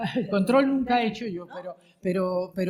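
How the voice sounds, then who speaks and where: Somewhat breathy and at a medium pitch, a woman speaks at a moderate pace with lively intonation. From Spain, mixed regions. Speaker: retired radio and TV journalist. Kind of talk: panel discussion.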